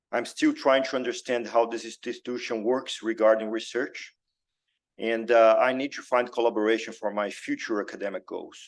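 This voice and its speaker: A man with a Brazilian accent and medium pitch speaks in a flat monotone at a moderate pace over a quiet background. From Brazil, Belo Horizonte. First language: Portuguese. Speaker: cardiac surgeon. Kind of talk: lecture. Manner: halting, many fillers.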